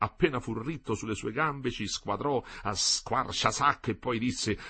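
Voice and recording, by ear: With pitch that varies in an ordinary way, someone reads aloud in a natural voice.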